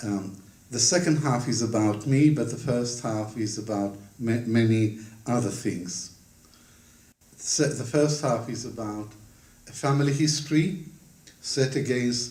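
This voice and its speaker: A man with a medium-pitched, dark and mellow voice speaks at a fairly slow pace, somewhat breathy, with ordinary pitch variation, long and frequent pauses, and audible room echo. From Israel (Ramat Gan), born in Baghdad; schooled in London from 15. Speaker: historian, author. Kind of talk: book launch talk. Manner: formal.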